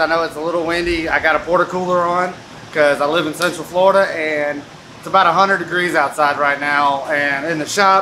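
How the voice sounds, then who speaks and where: Fairly even intonation over light background noise. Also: man. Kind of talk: casual vlog chat. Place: workshop. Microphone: phone near.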